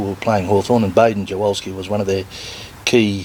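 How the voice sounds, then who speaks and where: There is noticeable background noise behind this man with an Australian accent. His pitch is fairly low and his intonation fairly even. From Victoria, Australia (Melbourne). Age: 60s. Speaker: retired footballer and business owner. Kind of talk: interview.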